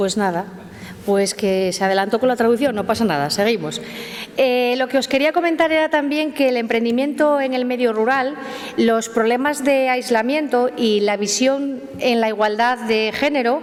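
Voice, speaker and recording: A woman speaks at a fairly quick pace in a high pitch, with very even loudness, ordinary pitch variation and noticeable background noise. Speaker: mayor. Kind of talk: formal welcome speech. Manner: halting.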